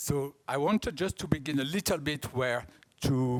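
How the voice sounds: A man speaks with a strong French accent. His pitch is fairly high and his pace fairly slow. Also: ordinary pitch variation.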